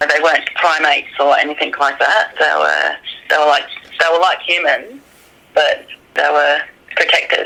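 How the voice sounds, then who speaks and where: A woman with an Australian accent speaks at a moderate pace and very even loudness, with long, frequent pauses, over noticeable background noise. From Australia, New South Wales mid north coast. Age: 30s. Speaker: witness. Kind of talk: interview.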